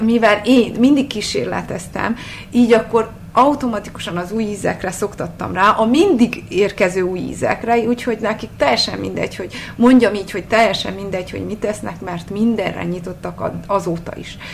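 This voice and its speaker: Over noticeable background noise, a woman speaks at medium pitch and a moderate pace, with ordinary pitch variation and big swings in loudness. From Transylvania, Csíkszereda. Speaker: food blogger. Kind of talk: interview. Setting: home kitchen.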